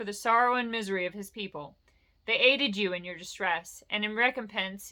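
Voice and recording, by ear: Here the speaker is reading aloud in a natural voice, with ordinary pitch variation.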